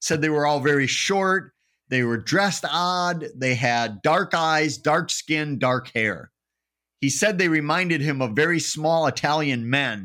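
Speaking with an Upper Midwest accent, a man uses a fairly high pitch, lively intonation and a bright, sharp tone at a fairly slow pace, his loudness very even throughout. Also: very clean recording, silent background. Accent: Upper Midwest American. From Wisconsin (Eau Claire). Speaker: paranormal researcher and author. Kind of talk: casual interview.

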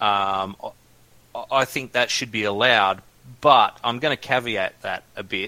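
Speaking slowly-ish at a fairly slow pace, a man with an Australian accent has a medium pitch and a bright, sharp tone. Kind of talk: casual chat.

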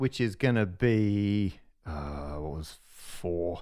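In a very clean recording with a silent background, a man with an Australian accent speaks in a dark, mellow tone. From Western Australia, Perth. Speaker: podcast co-host, maths communicator. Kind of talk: casual chat. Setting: office.

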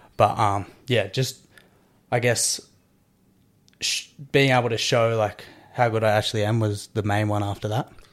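Over a silent background in a very clean recording, a man with an Australian accent speaks at a moderate pace in a medium pitch, monotone and flat, with long, frequent pauses. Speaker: CrossFit athlete and coach. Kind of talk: casual interview chat.

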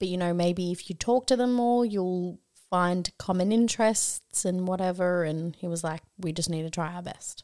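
In a very clean recording with a silent background, a woman of medium pitch with an Australian accent and a dark, mellow tone speaks at a moderate pace with ordinary pitch variation and hardly any pauses. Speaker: podcast co-host. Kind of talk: casual chat. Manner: animated, excitable.

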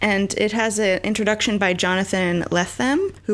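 Someone does plain reading aloud here.

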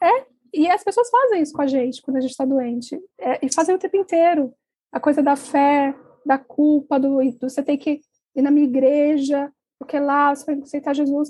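A woman speaks in a high pitch with a dark, mellow tone. Her pace is moderate and her pitch variation ordinary. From Brazil, Brasília. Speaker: journalist and author, cancer patient. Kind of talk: interview.

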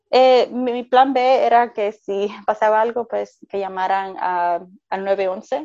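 Her voice is fairly high with a dark, mellow tone, and this woman speaks at a very slow pace with hardly any pauses and ordinary pitch variation. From Puerto Rico. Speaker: mother sharing birth stories. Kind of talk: interview, personal testimony.

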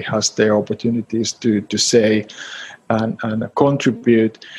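A man with a Finnish accent speaks at a fairly slow pace in a monotone, flat intonation. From Finland, Helsinki. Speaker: startup advisor. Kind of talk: interview. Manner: halting.

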